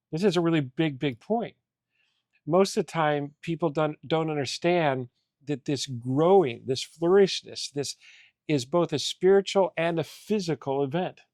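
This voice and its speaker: Fairly slow and dry, with a close sound and no echo, a man speaks in an unremarkable speaking voice, his fairly high pitch showing ordinary variation. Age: 60s. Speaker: coach and mentor. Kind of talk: faith-based interview conversation.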